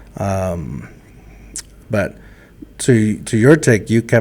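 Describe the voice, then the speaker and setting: Speaking with ordinary pitch variation, a man has a fairly low pitch. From Mexico, raised in Texas border town. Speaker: podcast host. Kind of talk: casual chat. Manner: halting.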